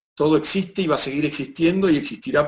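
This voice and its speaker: The speaker has an Argentine accent and talks at a moderate pace. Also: man. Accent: Argentine Spanish (Rioplatense). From Argentina. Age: 60s. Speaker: personal development speaker, documentary maker. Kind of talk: interview.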